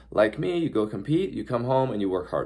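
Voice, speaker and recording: A man with a medium pitch and vocal fry talks at a fairly quick pace, his pitch swinging very widely. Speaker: horse trainer and YouTuber. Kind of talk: casual vlog talk. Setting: hotel room. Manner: fast.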